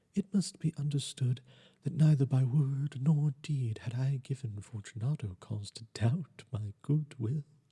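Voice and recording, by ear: A man's voice has a dark, mellow tone with a husky, rough edge and ordinary pitch variation. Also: medium pitch for a man, fairly slow pace.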